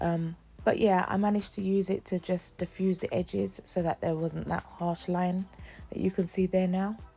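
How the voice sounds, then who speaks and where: A woman at a medium pitch and moderate pace, monotone and flat in intonation, with music in the background. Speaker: beauty vlogger. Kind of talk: makeup tutorial. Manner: casual, conversational.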